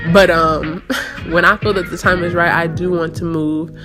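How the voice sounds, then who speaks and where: At a moderate pace, a woman speaks in a fairly low voice with music playing in the background. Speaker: YouTuber. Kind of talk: casual chat. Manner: loud; animated.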